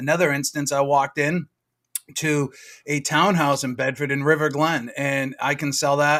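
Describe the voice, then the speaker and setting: A man with a Boston accent speaks in a fairly high pitch and a flat, monotone delivery. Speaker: real estate agent. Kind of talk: casual chat. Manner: fast.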